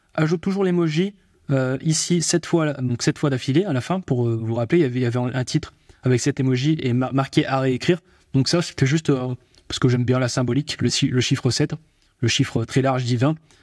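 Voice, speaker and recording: A man speaks at a medium pitch and a fairly quick pace, with ordinary pitch variation, in a very clean recording with a silent background and a dry, close sound with no echo. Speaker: AI tutorial youtuber. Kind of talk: tutorial. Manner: speeds up as he goes, gets fired up; fast.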